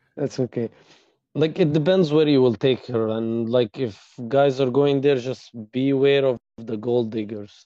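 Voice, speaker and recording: A man speaks with an Arabic accent. His pitch varies in an ordinary way. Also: medium pitch for a man, moderate pace. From Egypt. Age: 20s. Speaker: former medical student. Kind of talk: interview.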